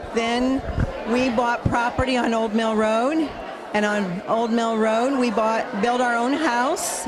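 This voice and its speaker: Speaking at a very slow pace, a woman with a fairly high pitch keeps very even loudness and fairly even intonation, with audible room echo and noticeable background noise. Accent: American. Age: 60s. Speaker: community member. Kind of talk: personal testimonial.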